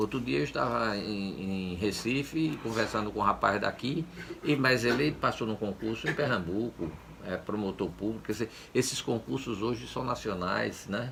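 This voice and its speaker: With lively intonation, a man with a fairly low pitch talks at a moderate pace over noticeable background noise. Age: 70s. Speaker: former public official. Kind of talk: interview. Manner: halting, with many repetitions and fillers.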